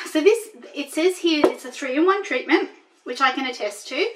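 You can hear a woman talking. Some light noise sits in the background. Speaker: haul vlogger. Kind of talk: casual vlog chat. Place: home room. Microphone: camera far.

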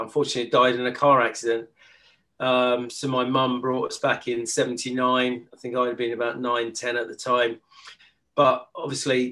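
A man with a bright, sharp tone and flat, monotone intonation. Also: moderate pace, quiet background. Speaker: guest. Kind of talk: interview answer. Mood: relaxed, amused. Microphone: video call.

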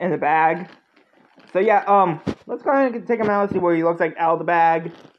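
The speech moves at a fairly quick pace over light background noise. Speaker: unboxing vlogger. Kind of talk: casual vlog chat. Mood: excited, happy. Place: home room. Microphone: phone near.

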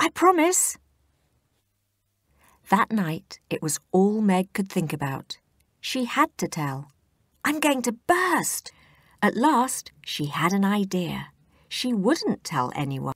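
The voice moves at a very slow pace with long, frequent pauses and very wide pitch swings. The sound is dry and close with no echo, on a very clean recording with a silent background. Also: woman. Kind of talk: children's audiobook reading.

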